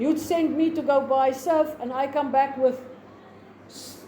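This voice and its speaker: Speaking in a South African accent, a woman with a high pitch talks at a fairly slow pace with fairly even intonation, amid audible room echo and noticeable background noise. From South Africa, Free State. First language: Afrikaans. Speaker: teacher. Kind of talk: lecture. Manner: halting.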